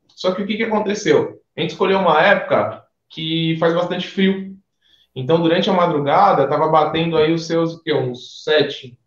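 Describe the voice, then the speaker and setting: A high-pitched male voice at a moderate pace, fairly even in intonation, with audible room echo. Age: 20s. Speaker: lawyer, former student. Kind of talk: casual interview, travel story.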